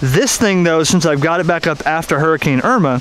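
Lively intonation in a dry sound with no echo, over light background noise. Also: man. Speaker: ham radio hobbyist. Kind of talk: casual vlog chat. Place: garden. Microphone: phone near.

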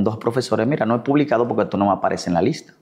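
Lively intonation from a man over a quiet background. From Dominican Republic, La Vega; Dominican Republic. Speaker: physician and elected city councillor; elected city councillor. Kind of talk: interview. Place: home room. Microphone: lapel.

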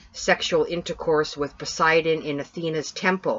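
This woman speaks with a Canadian accent at a moderate pace, her very deep, low pitch carrying fairly even intonation. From Canada. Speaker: paranormal podcast co-host. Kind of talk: casual chat.

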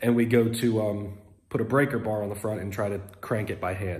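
A man's dark, mellow, somewhat breathy voice at a fairly quick pace. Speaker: car restoration vlogger. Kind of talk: casual vlog chat. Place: garage. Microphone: phone near.

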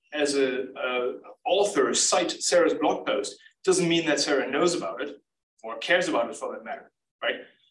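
A man at a moderate pace, with audible room echo. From Germany. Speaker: research scientist. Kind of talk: lecture.

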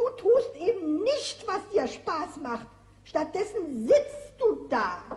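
A cartoonish character voice at an extremely high pitch, with very wide pitch swings. The pace is very slow. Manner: calm, terse, patient.

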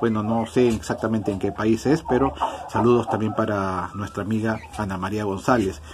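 There is noticeable background noise. A man speaks with fairly low pitch. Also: ordinary pitch variation, moderate pace. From Peru, Ica. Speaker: poultry farmer and YouTuber. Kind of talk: tutorial; reading out viewer greetings. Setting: on a farm, walking around.

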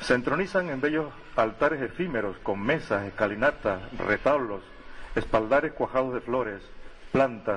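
Lively intonation from a man at a moderate pace. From Canary Islands, La Palma. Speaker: local historian and festival crier. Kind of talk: ceremonial speech read aloud. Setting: public square with audience. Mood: solemn, ceremonial. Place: street. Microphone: podium.

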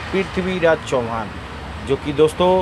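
A man with a fairly high pitch talks at a fairly slow pace. The sound is dry with no echo, and there is noticeable background noise. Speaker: auto-rickshaw driver. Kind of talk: casual talk to camera. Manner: excited. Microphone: phone near.

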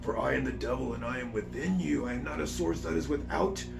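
A man performs a put-on character voice at a very fast pace. Loud background noise runs beneath him. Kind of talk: talking like the devil. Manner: menacing.

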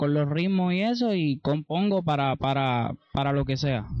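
A man at a fairly slow pace, with a dry sound with no echo and a quiet background. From Puerto Rico, Ponce. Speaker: reggaeton singer and songwriter. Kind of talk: interview. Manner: halting. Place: garden. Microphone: handheld.

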